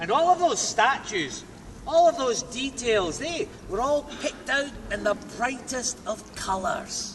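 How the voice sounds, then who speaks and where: A man speaks with a central Scottish accent at a fairly slow pace. Noticeable background noise runs underneath. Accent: Scottish, Stirling. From Scotland. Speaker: castle tour guide. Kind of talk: guided tour commentary. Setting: outdoors. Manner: dramatic, storytelling.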